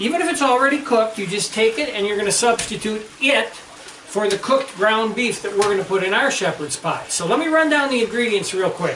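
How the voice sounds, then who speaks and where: A man's high voice, fairly quick and with hardly any pauses, lively in intonation, with audible room echo and noticeable background noise. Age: 60s. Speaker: home cook. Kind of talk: cooking tutorial. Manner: casual, conversational.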